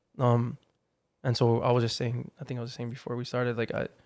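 Speaking with a Hawaiian accent, a man of medium pitch keeps a flat monotone at a moderate pace. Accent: Hawaii local English. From Hawaii, Hawaii Kai on Oahu. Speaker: artist manager and agency co-founder. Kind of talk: casual interview chat. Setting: studio.

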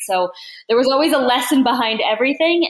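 With an American accent, a woman speaks at a moderate pace in an unremarkable speaking voice. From US Mid-Atlantic (Newark, Delaware). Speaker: tech executive. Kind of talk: interview.

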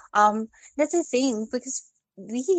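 Recorded with a dry, close sound and no echo, a woman speaks at a very slow pace. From Philippines. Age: 30s. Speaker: caller. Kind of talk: phone-in advice conversation. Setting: phone call. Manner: soft-spoken; hesitant.

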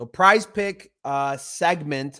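The recording is very clean with a silent background. A man speaks in an unremarkable speaking voice, fairly high in pitch, with ordinary pitch variation. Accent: American. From Chicago, US. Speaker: podcast host. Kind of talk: casual sports betting chat.

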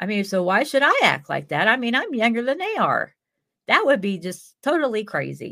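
Recorded very cleanly against a silent background, a woman with a fairly high pitch and a bright, sharp tone speaks at a moderate pace in an animated way, with very wide pitch swings and vocal fry. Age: 50s. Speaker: mental health podcast host. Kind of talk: casual solo monologue.

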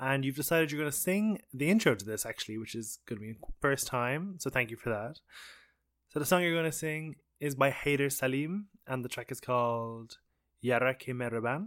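A man with an Irish accent, medium pitch, fairly quick pace and lively intonation. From Ireland. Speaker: radio documentary host. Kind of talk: interview. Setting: radio studio.

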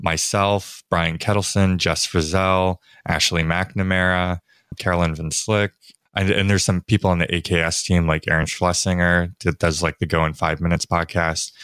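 In a very clean recording with a silent background and a dry, close sound with no echo, a man speaks at a very deep, low pitch. His loudness stays very even, his pace is moderate, and his intonation is monotone and flat. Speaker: software developer advocate and podcast host. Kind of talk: casual technical interview.

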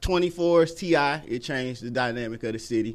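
Moderate pace, an American accent and ordinary pitch variation. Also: man. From US South, Atlanta (East Lake). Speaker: musician and producer. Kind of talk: casual interview. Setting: studio.

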